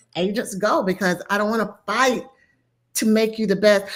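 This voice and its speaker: The recording is very clean against a silent background. In it, a woman talks in an animated tone. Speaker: real estate coach. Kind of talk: interview conversation. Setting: live stream.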